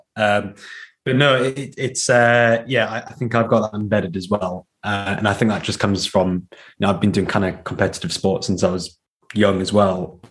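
A man's fairly low voice at a moderate pace, fairly even in intonation, a plain, everyday voice, on a very clean recording with a silent background. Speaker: event director, runner. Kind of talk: casual interview.

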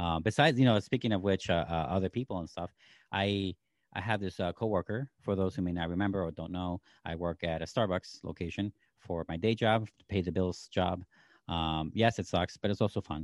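This man has a very deep, low pitch and ordinary pitch variation. He talks at a fairly quick pace. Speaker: podcast co-host and producer. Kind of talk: casual podcast chat. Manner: fast talker; hard to understand, rushes speech.

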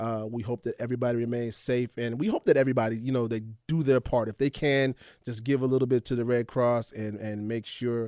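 A man speaks at a fairly quick pace in an animated tone, his medium-pitched voice dry and close with no echo on a very clean recording with a silent background. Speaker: radio host. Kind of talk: casual chat. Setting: studio.

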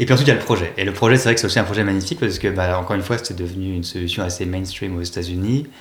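Hardly any pauses break up this man's very deep, low voice, which has ordinary pitch variation. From Paris region, France. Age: 30s. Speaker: tech company executive. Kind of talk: interview. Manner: hesitant with fillers.

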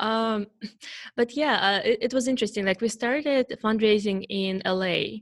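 A woman speaks with a Russian accent and a fairly high pitch. Her pace is moderate and her pitch variation ordinary. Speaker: startup founder. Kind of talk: interview. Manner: halting.

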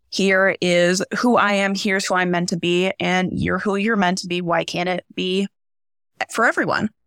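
With an American accent, a woman talks at a moderate pace in a monotone, flat intonation, the recording very clean with a silent background and a dry, close sound with no echo. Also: medium pitch for a woman. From rural central Nebraska. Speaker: theater teacher. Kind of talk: panel discussion.

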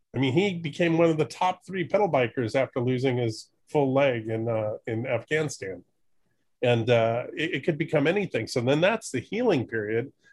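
The voice is somewhat breathy, with lively intonation. It moves along at a moderate pace. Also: man, fairly high pitch for a man. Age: 50s. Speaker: documentary filmmaker. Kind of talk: casual interview chat.

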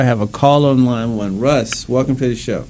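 A man talks at a moderate pace and medium pitch, using a plain, everyday voice with fairly even intonation. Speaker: doctor radio host. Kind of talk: live call-in radio show, informal medical advice. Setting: radio studio. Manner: conversational, fluent, uses fillers.

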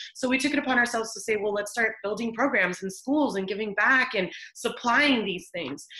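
Over noticeable background noise, a woman with a fairly high pitch sounds animated, talking at a fairly quick pace with hardly any pauses and ordinary pitch variation. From El Salvador, raised in US. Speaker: clothing brand co-founder. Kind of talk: radio interview.

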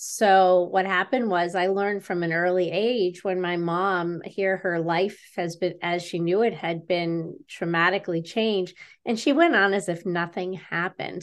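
A woman with an ordinary speaking voice talks at a fairly slow pace and a medium pitch, her intonation fairly even against a quiet background. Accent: American. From western New York. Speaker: author and speaker. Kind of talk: interview.

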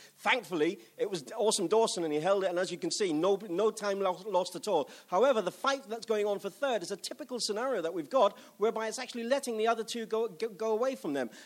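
Speaking very fast with hardly any pauses, a man talks in a high voice. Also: ordinary pitch variation. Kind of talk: live race commentary. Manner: rambling, stumbling, animated.

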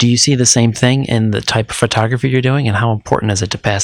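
A man at a medium pitch and a very fast pace, fairly even in intonation, with noticeable background noise. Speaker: podcast host. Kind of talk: interview.

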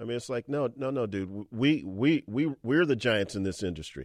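With lively intonation and a moderate pace, an ordinary speaking voice is heard in a very clean recording over a silent background. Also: man. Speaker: radio host. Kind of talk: radio sports talk show. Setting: studio. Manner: conversational, chatty.

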